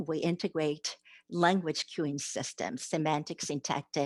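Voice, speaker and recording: A woman with a Japanese accent speaks at fairly low pitch and a fairly slow pace, the sound dry and close with no echo over a quiet background. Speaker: literacy education professor. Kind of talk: academic conference presentation.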